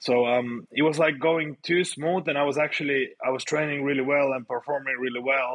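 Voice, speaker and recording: Speaking with a Finnish accent and hardly any pauses, a man keeps a fairly quick pace, a fairly high pitch and fairly even intonation. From Finland. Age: 30s. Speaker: grappling athlete. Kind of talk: casual interview chat.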